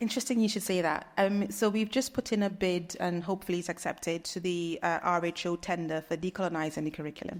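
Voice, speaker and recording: Talking very fast with hardly any pauses, a woman with a British accent speaks in a fairly low voice with ordinary pitch variation. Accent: British accent, can switch to Trinidadian. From Trinidad and Tobago. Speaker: nurse researcher. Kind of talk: conference talk and Q&A.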